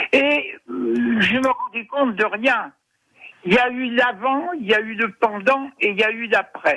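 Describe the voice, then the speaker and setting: This man's voice is extremely high in pitch and moves at a very slow pace. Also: ordinary pitch variation. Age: 60s. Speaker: reader. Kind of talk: phone interview. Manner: halting.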